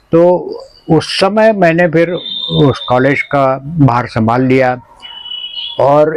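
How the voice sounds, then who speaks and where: Lively intonation from a man against noticeable background noise. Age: 80s+. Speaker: retired college principal and gardener. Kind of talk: interview.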